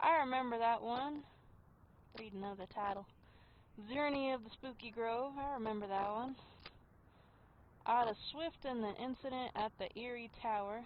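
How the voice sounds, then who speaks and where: Someone with an American accent speaks at a moderate pace with ordinary pitch variation and long, frequent pauses. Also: woman, fairly high pitch for a woman. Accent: slight southern US when reading aloud. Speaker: gaming streamer. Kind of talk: live gameplay commentary; reading game text aloud.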